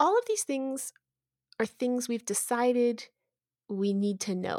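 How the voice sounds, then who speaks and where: In a very clean recording with a silent background and a dry, close sound with no echo, a woman with a plain, everyday voice speaks at a moderate pace with ordinary pitch variation. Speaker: podcast host and educational technologies coordinator. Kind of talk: conversational podcast interview.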